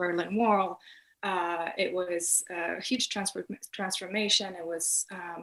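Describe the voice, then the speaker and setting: Speaking very slowly in a monotone, flat delivery, a woman with a Polish accent uses a medium pitch, and her loudness swings widely. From Poland. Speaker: art graduate student. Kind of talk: interview. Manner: halting, many fillers.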